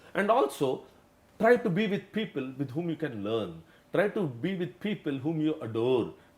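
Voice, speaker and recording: With very wide pitch swings, a man speaks at a fairly high pitch and a moderate pace. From India, Mumbai. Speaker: company executive. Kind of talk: interview. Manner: halting.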